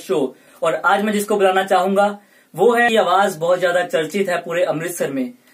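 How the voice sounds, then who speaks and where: This man's voice sits high in pitch, with ordinary pitch variation. He talks at a moderate pace. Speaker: college student interviewer. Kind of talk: show host intro.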